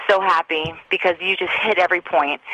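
A woman at medium pitch and a fairly quick pace, dry and close with no echo, over noticeable background noise. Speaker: caller. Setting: phone call.

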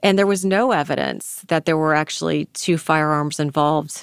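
Recorded very cleanly against a silent background with a dry, close sound and no echo, a woman with an ordinary speaking voice talks at a fairly low pitch with fairly even intonation. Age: 50s. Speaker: attorney heading a conviction review unit. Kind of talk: interview.

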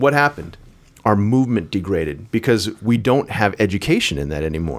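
A man with a fairly low pitch and vocal fry talks at a fairly quick pace, his pitch swinging very widely. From Chinese heritage. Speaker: acupuncturist and martial arts trainer. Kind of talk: casual interview chat. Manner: animated.

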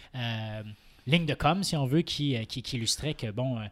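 Ordinary pitch variation at a moderate pace, in a very clean recording with a silent background. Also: man. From Quebec, Saint-Hyacinthe. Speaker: political commentator and law student. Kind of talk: casual political panel discussion.

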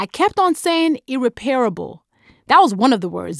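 With a Nigerian accent, a woman talks at a fairly quick pace. The recording is very clean, with a silent background. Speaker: author. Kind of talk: interview monologue about audiobook.

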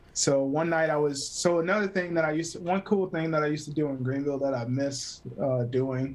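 A man talks at a fairly quick pace with hardly any pauses, in a normal speaking voice. His pitch is fairly high, with ordinary variation. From US South, South Carolina (Greer). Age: 30s. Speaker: photographer and cinematographer. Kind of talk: casual interview chat. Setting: remote call.

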